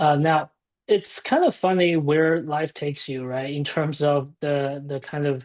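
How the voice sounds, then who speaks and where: This man's voice sits fairly high in pitch, and his intonation is fairly even. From China. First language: Chinese. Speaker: tech startup founder. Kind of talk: podcast interview.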